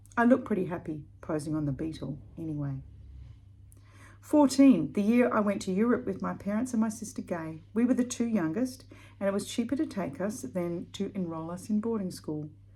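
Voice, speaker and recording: A woman speaks at a moderate pace in a dark, mellow, somewhat breathy tone, her pitch swinging very widely. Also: medium pitch for a woman. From Australia, Perth. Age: 60s. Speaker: blogger. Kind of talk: reading aloud.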